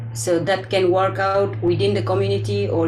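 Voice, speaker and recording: A woman talks at a fairly quick pace with very wide pitch swings. Noticeable background noise can be heard. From Northeast India (Arunachal, Milang village). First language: Adi. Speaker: linguist, community researcher. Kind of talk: Q&A after lecture. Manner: halting.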